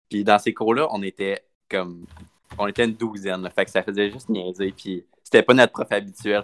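This man's fairly low voice moves at a fairly quick pace in a monotone, flat delivery, recorded with a dry, close sound and no echo. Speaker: podcast co-host. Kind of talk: casual chat.

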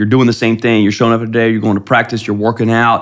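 With a Midwestern American accent, a man talks at a medium pitch. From US Midwest, Ohio (Columbus area). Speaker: high school football coach. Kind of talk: interview conversation. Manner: halting, frequent repetitions.

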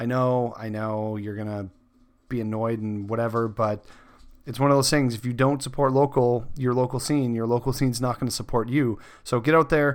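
A man with a Canadian accent, medium pitch, fairly even intonation and moderate pace, on a very clean recording with a silent background. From Saskatchewan, Canada. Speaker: podcast host. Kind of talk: casual interview. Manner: halting.

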